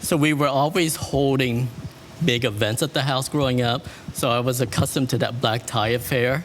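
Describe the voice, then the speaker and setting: Noticeable background noise sits behind a man speaking at a moderate pace and medium pitch, with fairly even intonation and very even loudness. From Vietnam, then US from age eight. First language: French. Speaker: wedding and event planner. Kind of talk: interview.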